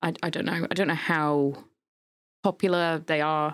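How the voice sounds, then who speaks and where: Monotone and flat, a woman speaks with a British accent in a very deep, low pitch. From UK. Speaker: podcast host. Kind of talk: casual chat.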